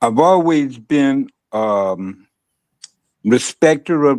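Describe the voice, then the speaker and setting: With an American accent, a man speaks at a fairly high pitch with lively intonation. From Los Angeles, California (South Central/Compton). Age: 70s. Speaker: guest in recovery, longtime friend of host. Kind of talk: interview. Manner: halting, many fillers.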